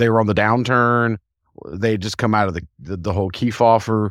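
In an American accent, a man with an ordinary speaking voice talks at a fairly low pitch with ordinary pitch variation, on a very clean recording with a silent background. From US South. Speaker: podcast co-host. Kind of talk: casual chat.

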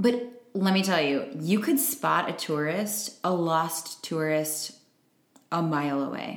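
Using ordinary pitch variation, a woman with an American accent talks at a very slow pace. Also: fairly low pitch for a woman. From Chicago area, US Midwest. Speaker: podcast co-host. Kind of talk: casual chat.

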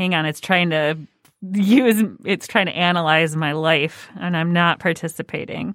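The speaker has a plain, everyday voice with ordinary pitch variation. The delivery comes at a fairly slow pace. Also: woman, fairly low pitch for a woman. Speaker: podcast host. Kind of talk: casual chat.

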